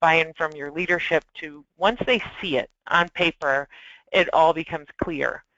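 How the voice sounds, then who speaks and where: A woman with a normal speaking voice talks at a fairly slow pace and a fairly low pitch, with ordinary pitch variation and big swings in loudness. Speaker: solutions engineer presenting a webinar. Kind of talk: webinar presentation.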